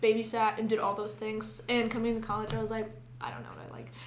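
Speaking with an American accent, a woman is heard with audible room echo. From Sidney. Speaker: college student. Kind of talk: casual chat.

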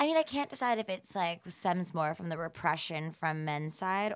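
In a very clean recording with a silent background, a woman with an American accent speaks at a moderate pace in an ordinary speaking voice, her pitch fairly low with ordinary pitch variation. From US South, Atlanta, Georgia. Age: 30s. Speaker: health tech startup founder. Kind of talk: casual interview.

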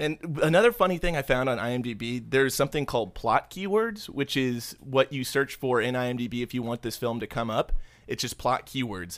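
A man with an ordinary speaking voice and medium pitch talks at a moderate pace with lively intonation and hardly any pauses, on a very clean recording with a silent background. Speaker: podcast host. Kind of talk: casual banter podcast chat. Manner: jokey, irreverent.

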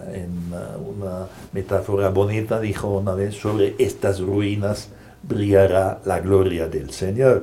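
A man speaks at a very slow pace with a fairly low pitch. His voice is somewhat breathy, and audible room echo surrounds it. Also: fairly even intonation. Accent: German. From Germany. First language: German (speaking Spanish). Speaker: Jesuit priest. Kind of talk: interview. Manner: hesitant, many fillers.

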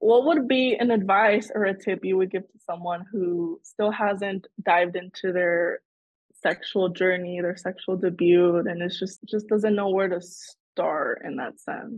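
Someone talks fairly slowly in an ordinary speaking voice. The pitch variation is ordinary, but the loudness swings a lot. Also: woman, medium pitch for a woman. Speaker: podcast host, student. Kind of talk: casual interview chat.

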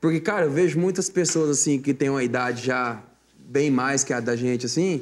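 An ordinary speaking voice from a man, fairly high in pitch, at a moderate pace with very even loudness and ordinary pitch variation. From Mato Grosso do Sul, Brazil. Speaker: sertanejo singer. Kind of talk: casual interview.

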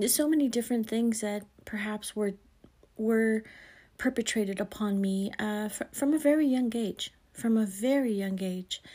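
A woman speaks at a moderate pace with a fairly high pitch. Her tone is dark and mellow, and somewhat breathy. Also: ordinary pitch variation, very clean recording, silent background. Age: 40s. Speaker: podcast host. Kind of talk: faith-based monologue.

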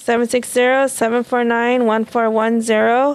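A woman's fairly high-pitched voice. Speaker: peer support team member. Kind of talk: casual panel discussion.

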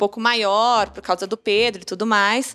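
An unremarkable speaking voice from a woman, fairly high-pitched, at a moderate pace, on a very clean recording with a silent background. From São Paulo, south periphery. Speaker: interior designer, former bank economist. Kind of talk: casual chat.

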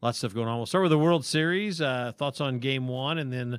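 This is an unremarkable speaking voice with ordinary pitch variation. The pace is fairly quick. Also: man. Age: 50s. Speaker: sports podcast co-host. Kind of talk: casual chat.

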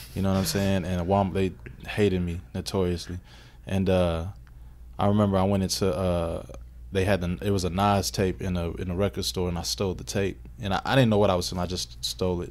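Very fast and very deep, a man's low voice with ordinary pitch variation comes through a very clean recording with a silent background. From Kentucky (Radcliff). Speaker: music producer and manager. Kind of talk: casual interview chat.

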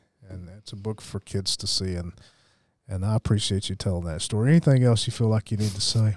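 At a very fast pace, a man speaks with a fairly low pitch and big swings in loudness. The recording is very clean with a silent background, and the sound is dry and close with no echo. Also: ordinary pitch variation. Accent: Southern US. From US South, Alabama. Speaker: podcast host. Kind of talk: interview. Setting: studio.

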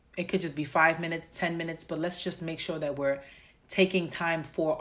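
A woman with a New York accent talks in a fairly low, monotone voice with flat intonation. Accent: New York (Bronx). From New York, the Bronx. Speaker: podcast host. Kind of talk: solo podcast monologue.

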